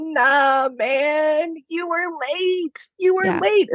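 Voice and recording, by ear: A woman uses a put-on character voice with a high pitch and lively intonation. She goes at a very slow pace, the sound dry and close with no echo.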